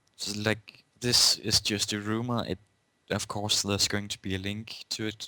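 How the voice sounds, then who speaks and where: Speaking fairly slowly with a Danish accent, a man uses a bright, sharp tone at a fairly low pitch with fairly even intonation, in a dry, close sound with no echo. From Denmark. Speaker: podcast co-host. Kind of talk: casual podcast chat.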